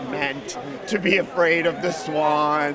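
A man's voice against crowd noise in the background. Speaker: actor guest. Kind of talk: interview answer. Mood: relaxed, smiling. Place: hall. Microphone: handheld.

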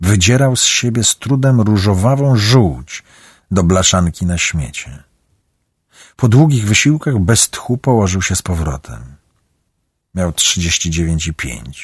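A dramatic, somewhat breathy delivery at a fairly slow pace, with very wide pitch swings, on a very clean recording with a silent background. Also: man, fairly low pitch for a man. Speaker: audiobook narrator. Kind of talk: audiobook narration. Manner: dramatic, varied pacing and voices.

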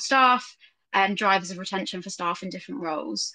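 A woman's voice has a bright, sharp tone. The background is quiet. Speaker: guest. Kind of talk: interview answer. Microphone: video call.

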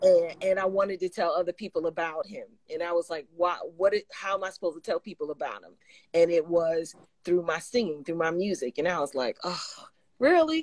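The speech moves at a fairly quick pace with ordinary pitch variation and big swings in loudness, over a quiet background with dry sound and no echo. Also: woman, fairly low pitch for a woman. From New York. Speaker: gospel singer; guest. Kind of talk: casual chat. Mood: warm, animated testimony. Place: home room. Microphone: video call.

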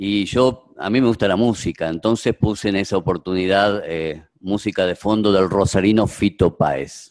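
Speaking in a Rioplatense accent, a man with a fairly low pitch and ordinary pitch variation keeps a moderate pace with hardly any pauses against a quiet background. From Argentina. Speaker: doctor, moderator; moderator. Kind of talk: moderating a video conference. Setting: video call. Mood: warm, reminiscing. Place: hall. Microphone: podium.

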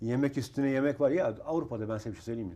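With ordinary pitch variation, a man's voice comes through in a dark, mellow tone. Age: 50s. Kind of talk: casual chat. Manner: animated.

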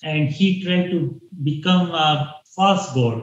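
There is audible room echo over a quiet background. A somewhat breathy man speaks with fairly even intonation. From Pakistan. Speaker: religious dream claimant; interviewee. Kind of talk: interview. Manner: halting. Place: home room. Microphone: earbuds.

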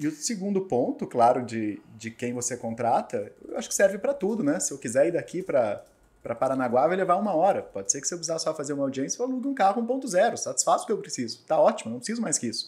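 Talking at a very fast pace with hardly any pauses, a man with a high pitch makes very wide pitch swings. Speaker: lawyer and law professor. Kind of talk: podcast interview. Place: studio. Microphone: studio mic.

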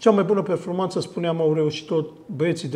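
A man with a plain, everyday voice speaks at a moderate pace, his fairly high pitch moving with ordinary variation. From Romania. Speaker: sports TV show host. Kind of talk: studio interview. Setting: TV studio. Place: studio.

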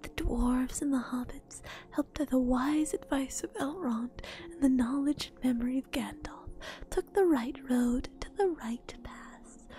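Soft-spoken and calm in tone, the speaker goes at a fairly slow pace with light background noise and a dry sound with no echo. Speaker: streamer. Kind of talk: ASMR book reading. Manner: soft-spoken, calm. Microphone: studio mic.

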